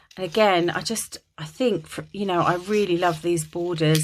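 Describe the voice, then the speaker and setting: A woman speaks with a slight Kent accent, at a moderate pace and a fairly low pitch. Her intonation stays fairly even, and the recording is very clean with a silent background. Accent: Dartford (Kent) English, slight, drops T's. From England, Dartford, Kent. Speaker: craft YouTuber. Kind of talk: casual crafting tutorial chat. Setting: home attic craft room. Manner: chatty, many fillers.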